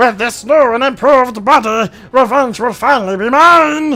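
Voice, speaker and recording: A man puts on a cartoonish character voice, extremely high in pitch, at a moderate pace. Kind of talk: classic cartoon villain. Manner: menacing, theatrical.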